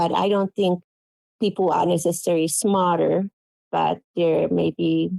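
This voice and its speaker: The speaker is a woman with a Finnish accent. She talks at a moderate pace. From Finland. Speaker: quilt pattern designer. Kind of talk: interview.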